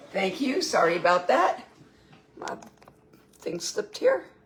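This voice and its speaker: Over noticeable background noise, a woman speaks at a fairly high pitch with very wide pitch swings. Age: 60s. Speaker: home cooking vlogger. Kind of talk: casual cooking livestream.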